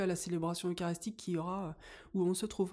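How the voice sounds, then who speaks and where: A woman's medium-pitched voice, dark and mellow in tone, monotone and flat, on a very clean recording with a silent background. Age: 40s. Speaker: school chaperone. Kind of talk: casual chat.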